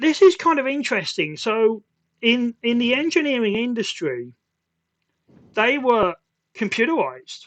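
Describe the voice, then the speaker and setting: An extremely high-pitched man with a British accent speaks at a moderate pace with lively intonation and long, frequent pauses. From UK. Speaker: podcast host, IT consultant. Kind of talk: casual chat. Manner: halting.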